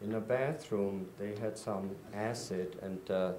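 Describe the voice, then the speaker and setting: In a room with audible echo, a man with a Czech accent speaks in a fairly low pitch with monotone, flat intonation. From Czechoslovakia, Prague. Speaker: Holocaust survivor. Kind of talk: testimony.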